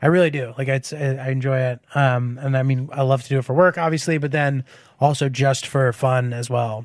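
A man has a plain, everyday voice at medium pitch. His intonation stays fairly even. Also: fairly quick pace. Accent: American. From Connecticut, US. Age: 30s. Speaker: comedian. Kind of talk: casual chat.

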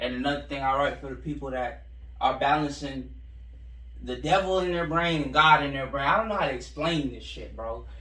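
The speech moves at a fairly quick pace. Audible room echo and noticeable background noise surround it. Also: man. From Central Florida. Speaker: rapper. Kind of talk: casual interview.

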